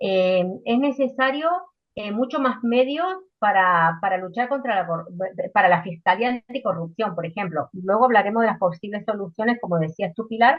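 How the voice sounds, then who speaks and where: A woman talks at a moderate pace and a medium pitch. Her intonation is lively. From Argentina. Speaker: political debate panelist. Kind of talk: panel debate. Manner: hesitant, many fillers.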